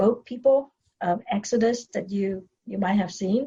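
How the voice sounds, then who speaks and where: In a Vietnamese accent, a woman speaks at a fairly high pitch with ordinary variation. Her dark, mellow tone is somewhat breathy. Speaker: dentist and business coach. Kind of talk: podcast interview, personal story. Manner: hesitant with fillers and repetitions.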